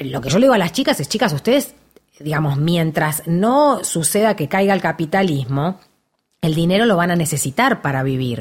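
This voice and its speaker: This voice is somewhat breathy, with very wide pitch swings and a fairly quick pace. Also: woman, fairly low pitch for a woman. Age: 50s. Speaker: actress. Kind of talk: casual chat.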